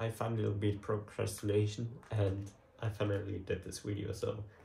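A man speaks at a fairly slow pace in a fairly low pitch, his tone dark and mellow. His voice is somewhat breathy over light background noise. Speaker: photography vlogger. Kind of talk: casual vlog chat. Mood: relaxed, lightly amused. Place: home room. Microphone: camera far.

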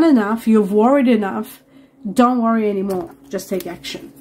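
A woman talks at a moderate pace with a dark, mellow, somewhat breathy tone. Her pitch varies in an ordinary way, with light background noise behind her. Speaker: tarot reader. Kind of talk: tarot reading commentary. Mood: warm, enthusiastic. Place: home room.

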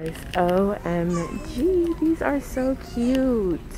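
Crowd noise fills the background as a woman speaks, the sound dry with no echo. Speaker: vlogger. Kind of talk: casual vlog chat. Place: shop. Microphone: phone near.

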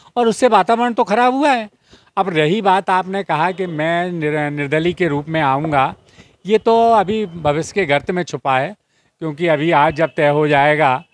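In a dry recording with no echo, a man speaks with a high pitch, lively intonation and a fairly slow pace. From Madhya Pradesh. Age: 60s. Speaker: independent election candidate, politician; election candidate, politician. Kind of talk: interview. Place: street.

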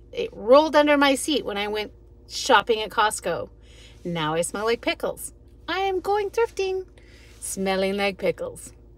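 A woman talks at a moderate pace with very wide pitch swings, recorded dry with no echo. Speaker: thrift reseller vlogger. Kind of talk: casual vlog chat. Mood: cheerful, amused. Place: car.

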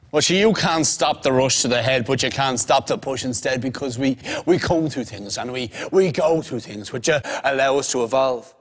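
Against a quiet background, a man speaks with a Dublin accent. His pace is moderate and his pitch varies in an ordinary way. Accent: Dublin Irish. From Ireland, Dublin. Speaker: spoken word poet. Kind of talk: poetry performance.

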